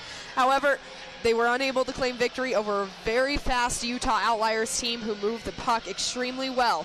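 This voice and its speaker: A woman with a fairly high pitch talks at a moderate pace. Her intonation is fairly even, and there is noticeable background noise. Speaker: hockey play-by-play announcer. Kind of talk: live sports play-by-play commentary.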